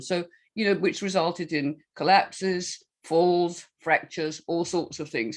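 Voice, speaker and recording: Speaking at a fairly slow pace with a Scottish accent, the woman has a fairly low pitch, and the recording is very clean with a silent background. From Scotland. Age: 70s. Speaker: health coach and author. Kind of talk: casual chat. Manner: halting.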